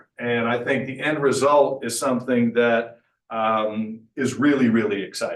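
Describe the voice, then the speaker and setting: It is an ordinary speaking voice, moving at a moderate speed with ordinary pitch variation. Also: man. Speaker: mayor. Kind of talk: public meeting presentation. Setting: public meeting.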